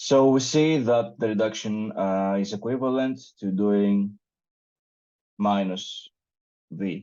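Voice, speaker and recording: With a non-native accent, a man talks very slowly in a fairly low voice, with ordinary pitch variation and long, frequent pauses. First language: not English. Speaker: meetup organizer presenting a paper. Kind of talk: technical presentation with live coding. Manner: hesitant, many fillers.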